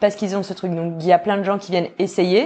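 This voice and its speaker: The speaker has a normal speaking voice. The pace is fairly quick. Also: woman. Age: 30s. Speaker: podcast host. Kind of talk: interview.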